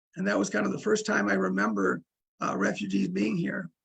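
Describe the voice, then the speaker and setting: This voice belongs to a man. An American accent comes through as he talks. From US Midwest, Minnesota. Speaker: English teacher. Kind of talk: casual talk to language learners.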